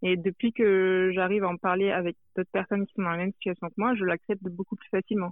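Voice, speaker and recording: Speaking at a very fast pace, a woman keeps a medium pitch. Her intonation stays monotone and flat. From France. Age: 20s. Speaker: anonymous interviewee, social media account creator. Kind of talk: interview. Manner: hesitant.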